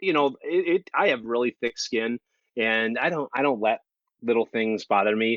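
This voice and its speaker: A man with a Minnesotan accent at a moderate pace. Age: 30s. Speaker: thru-hiker. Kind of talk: casual interview.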